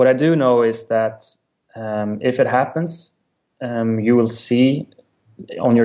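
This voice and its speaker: A man with a Swedish accent speaks very slowly in a medium pitch, his dark, mellow tone carried by fairly even intonation. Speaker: music company representative. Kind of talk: interview. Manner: halting.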